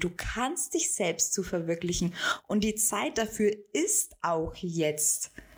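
Her intonation is lively. The woman talks very slowly. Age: 20s. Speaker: business coach. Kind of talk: solo podcast monologue. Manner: casual, many filler sounds.

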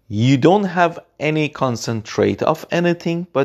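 Speaking with a non-native accent, a man moves at a moderate pace with very wide pitch swings. The recording is very clean, with a silent background. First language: not English. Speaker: podcaster. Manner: unscripted, halting, earnest.

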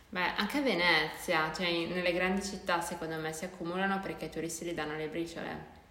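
A woman speaks at a fairly quick pace with hardly any pauses, her fairly low pitch held in fairly even intonation. Noticeable background noise is present. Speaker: podcast co-host, university student. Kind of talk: casual chat.

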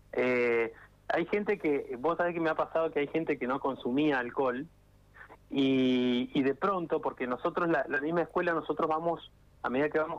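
A fairly high-pitched man at a moderate pace. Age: 30s. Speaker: bartending instructor. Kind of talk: radio interview. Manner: halting, with repetitions.

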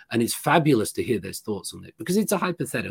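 In a very clean recording with a silent background and a dry, close sound with no echo, a man speaks with a British accent and lively intonation. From Britain. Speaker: professor. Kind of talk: interview.

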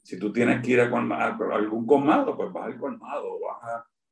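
A man speaks at a fairly slow pace. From Puerto Rico, Río Piedras. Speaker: urban planner and historian. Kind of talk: interview. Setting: video call.

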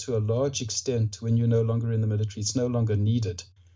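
A man's somewhat breathy voice. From Rhodesia (Zimbabwe), later Australia. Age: 60s. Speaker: author, mindfulness practitioner, veteran. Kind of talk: casual interview. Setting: remote call.

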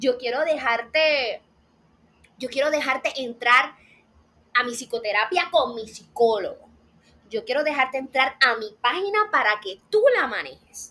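A woman's raised, projected, high-pitched voice with a bright, sharp tone and lively intonation, at a fairly slow pace with long, frequent pauses. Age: 20s. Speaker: psychology student, faith and mental health content creator. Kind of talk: casual interview chat. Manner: animated.

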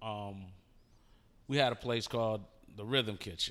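A man speaks at a medium pitch with ordinary pitch variation. His tone is bright and sharp. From Detroit. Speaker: rapper. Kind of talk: casual interview.

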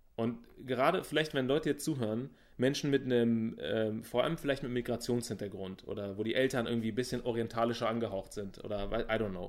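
A man talks at a very fast pace, his pitch medium with ordinary variation. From Berlin, Germany. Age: 30s. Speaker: business coach. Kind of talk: interview.

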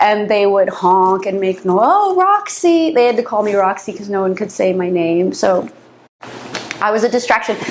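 Over noticeable background noise, a woman delivers her words at a moderate speed. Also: medium pitch for a woman, ordinary pitch variation. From San Francisco Bay Area. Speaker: interviewee on occult topics. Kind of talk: interview.

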